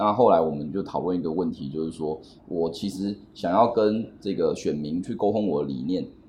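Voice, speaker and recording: A man's very deep, low voice, dark and mellow in tone, with ordinary pitch variation at a moderate pace. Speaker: human rights lawyer. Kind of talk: interview.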